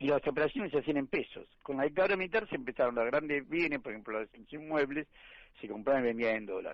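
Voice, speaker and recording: Very fast pace from a man with a fairly high pitch and lively intonation. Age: 70s. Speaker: economist. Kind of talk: radio interview.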